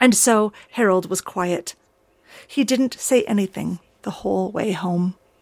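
The pitch moves in an ordinary way as a passage gets plain reading aloud.

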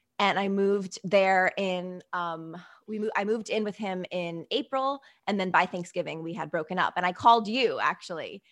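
At a moderate pace, a woman with an unremarkable speaking voice and a medium pitch speaks over a quiet background. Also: ordinary pitch variation. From US Northeast. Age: 30s. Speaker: online show host and author. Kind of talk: casual interview chat. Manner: chatty, laughs often.

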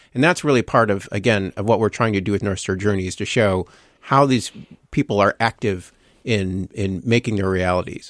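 Speaking fairly quickly with an American accent, a man with an unremarkable speaking voice and a fairly low pitch shows ordinary pitch variation on a very clean, dry, close recording with no echo and a silent background. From Minnesota, Minneapolis. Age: 50s. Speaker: radio news editor. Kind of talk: casual chat. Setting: studio.

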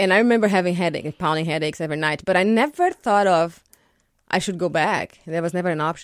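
With a Portuguese accent, a woman speaks very fast in a fairly low voice. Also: ordinary pitch variation. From Brazil. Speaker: architect. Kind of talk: radio interview. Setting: studio.

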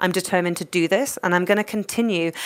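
In a very clean recording with a silent background, a woman speaks with a London accent. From London, England. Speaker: cookbook author. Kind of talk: interview.

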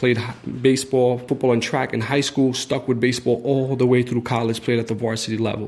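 The speaker is a man with an American accent. His intonation is monotone and flat. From New York City, raised from age 7 (born Egypt). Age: 20s. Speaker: business owner. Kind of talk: personal testimony.

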